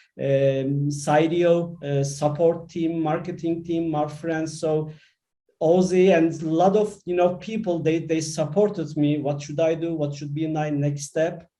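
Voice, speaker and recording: Amid audible room echo, a man with a fairly high pitch speaks in a dark, mellow tone with monotone, flat intonation. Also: fairly slow pace. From Turkey. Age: 50s. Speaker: IT manager and course alumnus. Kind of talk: panel introduction on online session. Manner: halting with many fillers.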